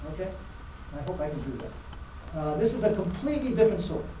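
Light background noise with audible room echo. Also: man. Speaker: lecturer. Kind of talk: lecture.

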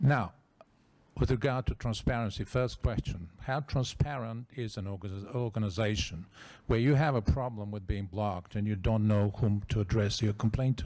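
A man with a Bulgarian accent speaks at a moderate pace in a fairly low pitch, with a dark, mellow tone and ordinary pitch variation. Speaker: former ambassador, NGO head; audience member. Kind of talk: audience question at conference. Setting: conference with audience. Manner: animated. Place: meeting room. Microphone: handheld.

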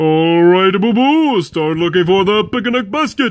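A cartoonish character voice speaks at a middle pitch and a fairly slow pace. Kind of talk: cartoon voice impressions.

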